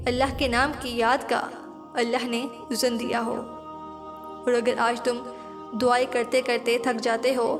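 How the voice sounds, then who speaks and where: Over music in the background, a woman speaks in a high pitch with monotone, flat intonation. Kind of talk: Islamic inspirational quote narration. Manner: calm, sermon-like address to the listener.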